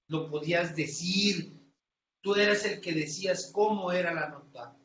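A man speaks very slowly in a high voice with ordinary pitch variation, and room echo is audible. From Tamaulipas, northern Mexico. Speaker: crime reporter. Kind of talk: interview.

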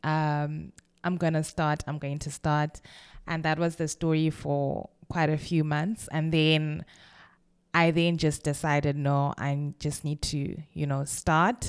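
Over a very clean recording with a silent background, a woman speaks at a very slow pace in a very deep, low pitch with monotone, flat intonation. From Zimbabwe (Kwekwe, Bulawayo). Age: 20s. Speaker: podcast host. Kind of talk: casual monologue.

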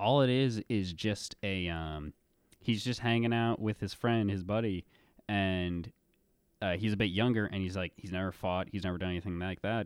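A man speaks in a normal speaking voice at a moderate pace, fairly low in pitch with ordinary pitch variation. The recording is very clean, with a silent background. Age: 20s. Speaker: student podcast host. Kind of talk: casual book discussion.

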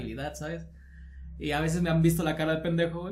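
Audible room echo around a man's voice, fairly high in pitch. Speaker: podcast co-host, video creator. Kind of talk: casual chat.

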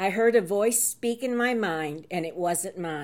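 The speaker uses an unforced reading voice.

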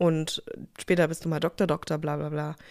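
Fairly low pitch for a woman, a flat monotone, and a moderate pace. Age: 30s. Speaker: podcast co-host. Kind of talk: casual chat.

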